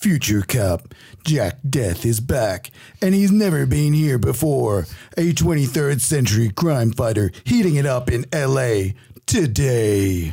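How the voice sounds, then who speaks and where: A man does a put-on character voice at medium pitch. His pace is fairly slow, and his pitch swings very widely. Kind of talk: dramatic announcer. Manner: dramatic.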